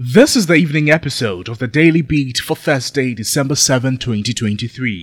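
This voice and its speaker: In a Ghanaian accent, the speaker talks at a moderate pace with lively intonation and hardly any pauses, captured in a very clean recording with a silent background. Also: man, medium pitch for a man. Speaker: news presenter. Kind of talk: news reading. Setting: studio. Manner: formal; measured.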